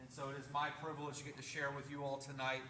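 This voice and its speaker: The speech comes at a fairly quick pace. There is audible room echo. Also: man. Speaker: paramedic and EMS educator. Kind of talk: presentation to a community meeting. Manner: casual, joking.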